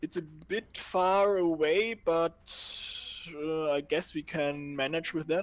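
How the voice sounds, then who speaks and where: Very slow speech with a German accent against a quiet background. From Germany. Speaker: gaming co-player. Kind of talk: casual chat. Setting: live stream.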